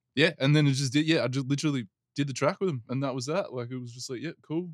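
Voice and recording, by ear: Heard with a dry, close sound and no echo, a man with an Australian accent and medium pitch talks at a very fast pace.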